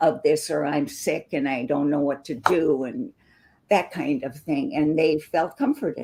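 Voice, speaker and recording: In a very deep, low voice with a dark, mellow tone, a woman speaks at a fairly slow pace. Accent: American. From US Midwest, northern Wisconsin. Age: 70s. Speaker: debut book author. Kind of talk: interview conversation.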